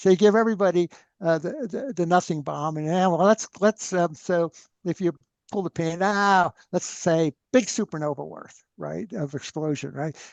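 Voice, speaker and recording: A man speaks loudly at a high pitch and a moderate pace, with ordinary pitch variation. The sound is dry and close with no echo, set against a quiet background. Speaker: free energy researcher. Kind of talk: interview conversation. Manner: animated.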